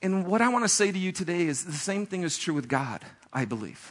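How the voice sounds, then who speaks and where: A man speaks in a raised, projected voice at a high pitch. His tone is animated, bright and sharp. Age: 40s. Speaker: pastor. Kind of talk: sermon.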